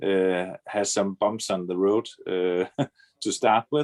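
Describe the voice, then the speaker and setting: A man in a Danish accent, fairly low-pitched with fairly even intonation, at a fairly slow pace, against a quiet background with a dry, close sound and no echo. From Denmark. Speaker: trader, scam victim. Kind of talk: interview testimony. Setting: video call. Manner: halting.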